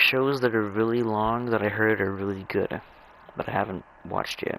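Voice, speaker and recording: A man with fairly low pitch and ordinary pitch variation, amid noticeable background noise. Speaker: gaming video creator. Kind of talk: casual gameplay commentary. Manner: halting, repeats words.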